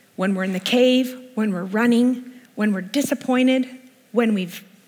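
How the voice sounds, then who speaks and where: A woman talks fairly slowly, her pitch varying in an ordinary way, while clear background noise carries on. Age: 50s. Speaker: worship leader and speaker. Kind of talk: sermon.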